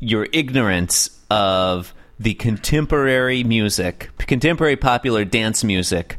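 Lively intonation in a natural voice reading aloud

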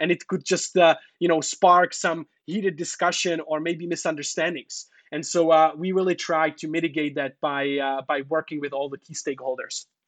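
In a Czech accent, a man with a fairly high pitch is recorded with a dry, close sound and no echo. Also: fairly even intonation, moderate pace. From Czech Republic. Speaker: entrepreneur and consultant in China. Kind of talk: interview.

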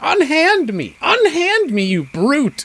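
Using a put-on character voice, the speaker moves at a fairly slow pace with very wide pitch swings. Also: man, extremely high pitch for a man. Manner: indignant, protesting.

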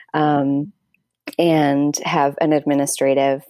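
This woman has a very deep, low pitch and a dark, mellow tone, recorded with a dry, close sound and no echo. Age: 30s. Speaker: essayist and arts presenter. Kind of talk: casual interview. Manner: halting, many fillers.

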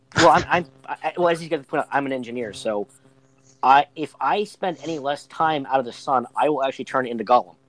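In an American accent, an ordinary speaking voice moves at a fairly quick pace with ordinary pitch variation and a dry, close sound with no echo. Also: man, fairly high pitch for a man. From rural western Pennsylvania. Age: 30s. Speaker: engineer and Freemason. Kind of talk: casual chat.

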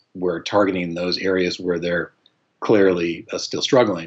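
This man talks in a flat monotone at a very deep, low pitch. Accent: General American. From Colorado. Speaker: psychology professor and psychologist. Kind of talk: interview. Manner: halting, with fillers and repetitions.

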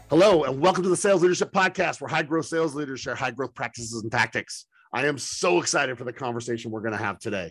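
Over music in the background, a man talks at a very fast pace with hardly any pauses, his tone animated and his intonation lively. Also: medium pitch for a man, dry, close sound with no echo. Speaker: podcast host. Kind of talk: interview.

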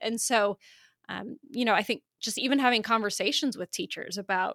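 An unremarkable speaking voice with an American accent talks at a moderate pace with ordinary pitch variation, recorded very cleanly against a silent background in a dry, close sound with no echo. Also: woman. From Iowa. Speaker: college and career advisor. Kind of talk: interview, conversational.

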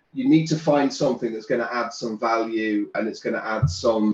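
A man with a plain, everyday voice, a medium pitch, lively intonation and a fairly quick pace. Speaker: business coach and author. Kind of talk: casual interview chat.

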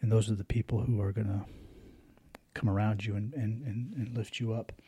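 This man's tone is dark and mellow, somewhat breathy. His intonation stays fairly even. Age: 40s. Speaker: podcast host and poet. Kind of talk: solo personal reflection monologue. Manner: halting, many fillers and restarts.

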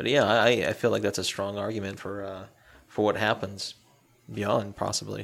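This man's voice sits fairly low, with vocal fry throughout. He talks in a flat monotone and leaves long, frequent pauses. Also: moderate pace. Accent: American. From US Southeast. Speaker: podcast co-host. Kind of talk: casual chat.

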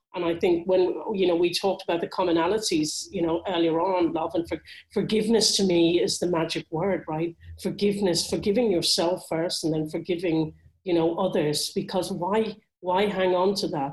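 In a Dublin accent, a woman speaks in a fairly low voice with fairly even intonation. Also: moderate pace. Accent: Irish (Dublin). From Ireland, Dublin. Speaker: motivational speaker and author. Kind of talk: interview.

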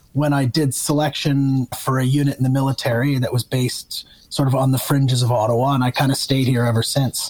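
A man with a Canadian accent, fairly high in pitch and somewhat breathy, at a moderate pace. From Ontario, Canada (north of Toronto). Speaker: retired army officer turned investor. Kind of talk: casual interview conversation.

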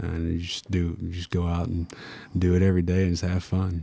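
On a very clean recording with a silent background, a man with a Tennessee accent speaks in a very deep, low, dark and mellow voice with monotone, flat intonation. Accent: Southern US, Tennessee. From Tennessee, US South. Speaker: college basketball player. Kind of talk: casual interview. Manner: quiet, soft-spoken.

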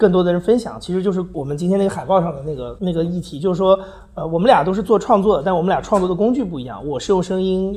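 A man speaks at a high pitch with ordinary pitch variation. Room echo is audible. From China. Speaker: podcast producer. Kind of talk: live public talk. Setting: stage with audience.

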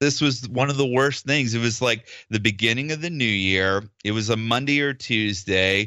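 With a normal speaking voice, a man speaks at medium pitch with ordinary pitch variation and hardly any pauses. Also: moderate pace. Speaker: dentist guest. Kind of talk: casual interview chat.

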